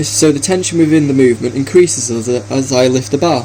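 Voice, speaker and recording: A fairly quick pace with ordinary pitch variation, over noticeable background noise. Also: man. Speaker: personal trainer. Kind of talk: workout voice-over narration. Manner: some stuttering.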